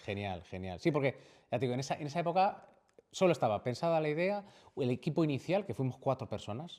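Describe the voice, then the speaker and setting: Over a silent background on a very clean recording, a man talks at a very fast pace in a fairly high pitch with very wide pitch swings. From Valladolid, Spain. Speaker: video game studio CEO. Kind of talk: interview answer.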